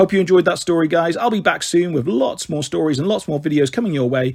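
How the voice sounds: Fast and at a fairly high pitch, a man speaks with lively intonation and a slightly husky edge.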